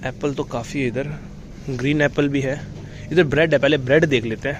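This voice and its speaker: At a moderate pace, a man talks with a fairly high pitch and fairly even intonation. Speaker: travel vlogger. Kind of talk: walking vlog narration. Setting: supermarket. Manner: casual, conversational.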